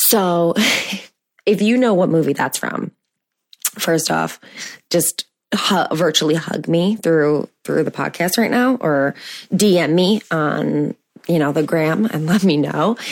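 Vocal fry colors this very slow delivery, which has ordinary pitch variation and long, frequent pauses. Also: woman, fairly low pitch for a woman. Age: 30s. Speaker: podcast host for mothers. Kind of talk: casual solo monologue. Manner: energetic, upbeat.

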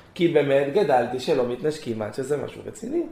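A man talks at a fairly slow pace. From southern Israel, Gan Yavne, Moroccan family. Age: 20s. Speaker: former yeshiva student sharing personal story. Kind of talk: personal testimony.

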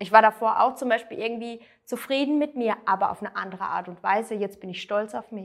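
Big swings in loudness, ordinary pitch variation and a fairly quick pace. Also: woman, fairly high pitch for a woman. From southwest Germany, near Freiburg. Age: 30s. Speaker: weight-loss coaching client. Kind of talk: interview testimony. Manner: hesitant, many fillers.

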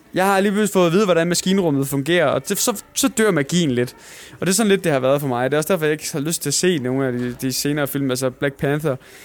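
A man rattles off words at a very fast pace, his fairly high voice showing ordinary pitch variation. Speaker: film podcast host. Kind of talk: casual chat. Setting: cinema venue.

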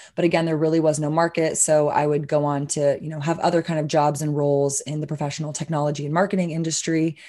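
A woman with an American accent, very fast and with hardly any pauses, her very deep, low pitch and dark, mellow tone held in a monotone, flat delivery. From Texas, Austin. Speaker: hemp business owner. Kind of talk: interview.

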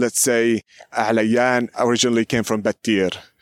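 A man with a Palestinian accent in a monotone, flat delivery, the sound dry and close with no echo, the recording very clean against a silent background. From Palestine, Beit Safafa near Jerusalem. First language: Arabic. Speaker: local history guide. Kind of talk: guided walking tour. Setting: outdoors.

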